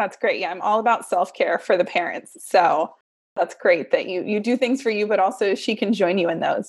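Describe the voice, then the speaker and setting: A woman with a plain, everyday voice at medium pitch and ordinary pitch variation, moderate pace, quiet background. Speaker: podcast host. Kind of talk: casual interview chat.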